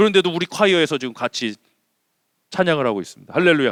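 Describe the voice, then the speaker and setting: This man's tone is bright and sharp. The sound is dry and close, with no echo. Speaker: senior pastor. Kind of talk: sermon. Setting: church. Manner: animated.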